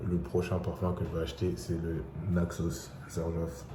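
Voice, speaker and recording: Over noticeable background noise and audible room echo, a man speaks with a very deep, low voice. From Senegal. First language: English (speaking French). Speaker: vlogger. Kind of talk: casual vlog.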